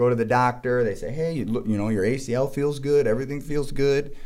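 Audible room echo surrounds a voice moving at a fairly quick pace. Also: man. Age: 30s. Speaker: podcast co-host. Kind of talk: casual chat.

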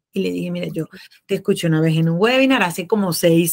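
An unremarkable speaking voice from a woman at a fairly quick pace, with ordinary pitch variation, on a very clean recording with a silent background. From Venezuela. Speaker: accountant and tax consultant. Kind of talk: podcast interview.

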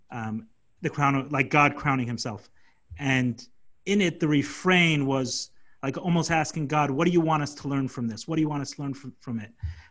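A man with an American accent uses an ordinary speaking voice at a fairly high pitch, a moderate pace and ordinary pitch variation. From Brooklyn, New York. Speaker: online event host. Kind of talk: casual chat. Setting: video call.

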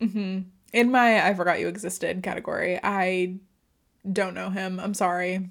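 On a very clean recording with a silent background, a woman of medium pitch speaks in an American accent with monotone, flat intonation. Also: moderate pace. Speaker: tennis podcast co-host. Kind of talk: casual chat.

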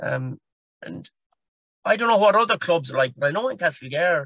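With a bright, sharp tone, a man talks at a fairly quick pace with very wide pitch swings in a dry, close sound with no echo. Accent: Galway. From Ireland, County Galway. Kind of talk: casual sports chat.

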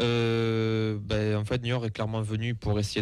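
The voice belongs to a man and sits fairly low. His intonation is flat and monotone. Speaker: radio co-host, football supporter. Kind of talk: casual radio talk show. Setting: radio studio.

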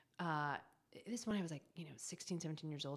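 Speaking with lively intonation, a woman has an American accent. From Los Angeles suburbs, California. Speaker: actress and writer. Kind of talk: casual chat.

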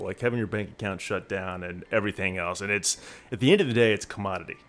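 A man with an American accent speaks at a fairly low pitch with ordinary pitch variation, on a very clean recording with a silent background. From US Midwest, Springfield, Missouri. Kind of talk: casual interview.

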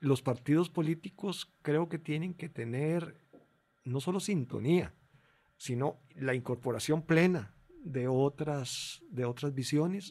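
With a normal speaking voice, a man speaks at a fairly slow pace and fairly high pitch, his pitch varying in an ordinary way. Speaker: podcast co-host. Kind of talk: casual chat.

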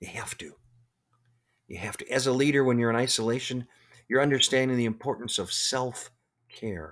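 Using an American accent, a man talks at a moderate pace and medium pitch with ordinary pitch variation and long, frequent pauses. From US Midwest, Chicago. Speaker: motivational speaker and business coach. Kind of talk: motivational talk. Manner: conversational, with repetitions and fillers.

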